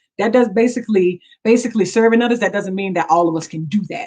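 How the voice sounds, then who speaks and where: A woman speaks with ordinary pitch variation. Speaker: pastor. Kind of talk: sermon. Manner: fast.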